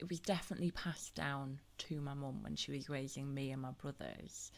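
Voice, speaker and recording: This woman's pitch is very deep and low. Her intonation is fairly even, at a moderate pace. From Teesside, northern England. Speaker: podcast host. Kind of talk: casual chat.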